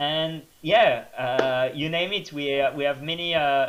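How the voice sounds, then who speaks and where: A man with a French accent. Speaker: trail runner. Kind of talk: interview. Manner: hesitant, many fillers.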